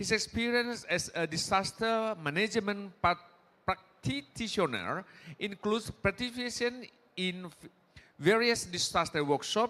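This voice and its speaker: A man's high, bright and sharp voice, raised and projected, at a fairly slow pace with ordinary pitch variation, in a very clean recording with a silent background. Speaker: panel moderator. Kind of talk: speaker introduction.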